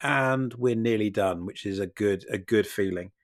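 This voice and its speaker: In a British accent, a man talks at a fairly slow pace with lively intonation. The sound is dry and close with no echo, and the recording is very clean with a silent background. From Britain. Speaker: podcast co-host. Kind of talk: casual chat. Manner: halting, repeats words.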